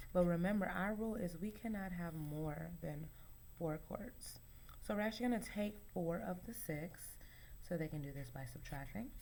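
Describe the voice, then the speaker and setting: Audible room echo carries a woman's dark, mellow tone, fairly low in pitch, with lively intonation at a moderate pace. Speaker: teacher. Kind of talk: tutorial. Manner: casual, hesitant with fillers.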